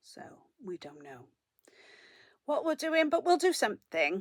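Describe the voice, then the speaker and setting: With a South Welsh accent, a woman speaks at a moderate pace with vocal fry and very wide pitch swings, in a dry, close sound with no echo. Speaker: knitting vlogger. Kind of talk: casual chat.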